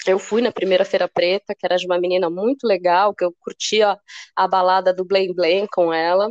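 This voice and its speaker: A woman at medium pitch speaks at a fairly quick pace, her intonation monotone and flat and her loudness very even. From São Paulo state, Brazil (São Bernardo do Campo). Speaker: cultural producer and curator. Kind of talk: casual interview chat.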